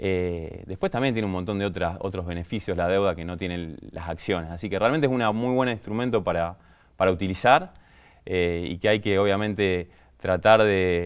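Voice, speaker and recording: A man talks in a very deep, low voice. His pitch varies in an ordinary way. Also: moderate pace. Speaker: business sciences graduate, finance expert guest. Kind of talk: podcast interview answer.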